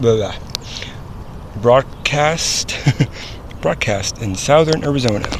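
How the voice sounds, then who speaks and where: A man talks at a very slow pace with long, frequent pauses. Noticeable background noise runs under his voice. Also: medium pitch for a man, ordinary pitch variation. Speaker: vlogger. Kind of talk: casual vlog, reading signs aloud. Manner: halting, stumbling over words.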